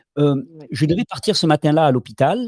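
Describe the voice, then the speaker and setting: A man's voice, fairly high in pitch with a dark, mellow tone and lively intonation, sounds dry and close with no echo. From Catalonia (French Catalan mountains). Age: 40s. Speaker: alternative health promoter. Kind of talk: interview. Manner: halting, frequent repetitions.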